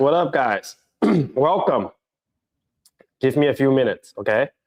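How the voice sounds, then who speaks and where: In a dry, close recording with no echo, a man does a put-on character voice, hoarse and fairly high in pitch, at a moderate pace. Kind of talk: casual, vlogger-like.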